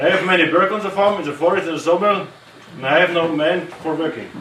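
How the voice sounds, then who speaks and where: A man with a German accent speaks at a fairly quick pace in a raised, projected voice with ordinary pitch variation, amid noticeable background noise and audible room echo. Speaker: farmer. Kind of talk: tour presentation to visitors. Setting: hunting lodge with tour group. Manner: halting.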